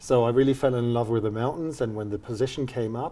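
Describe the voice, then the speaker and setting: A man's dark, mellow tone at medium pitch, with fairly even intonation and a German accent. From Germany, near the Dutch border. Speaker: university dean. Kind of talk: interview.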